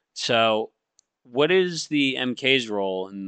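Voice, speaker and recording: Over a quiet background, a man's voice sounds bright and sharp, dry and close with no echo. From Maine. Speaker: podcast host and Coast Guard student. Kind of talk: casual interview. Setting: gaming microphone at school.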